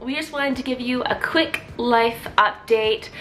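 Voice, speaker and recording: A woman with a Canadian accent and a high pitch, her voice raised and projected, at a fairly slow pace over noticeable background noise. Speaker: vlogger. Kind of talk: casual chat.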